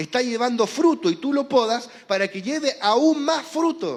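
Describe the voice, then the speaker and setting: A man talks with a Chilean accent. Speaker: preacher. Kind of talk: sermon.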